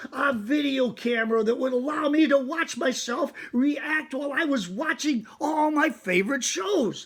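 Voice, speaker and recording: A man puts on a character voice at an extremely high pitch. He keeps a moderate pace with hardly any pauses. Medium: read story. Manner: chatty, self-satisfied.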